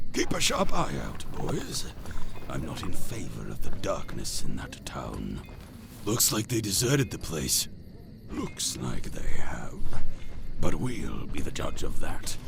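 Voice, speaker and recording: A man's put-on character voice with long, frequent pauses and clear background noise. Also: fairly slow pace. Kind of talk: 1940s radio acting. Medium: audio drama. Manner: smooth, pompous, sinister.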